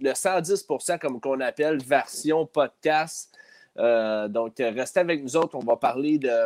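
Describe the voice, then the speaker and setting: Very slowly, a man with a fairly high pitch speaks in a dry, close sound with no echo. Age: 30s. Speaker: hockey podcast co-host. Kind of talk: casual chat.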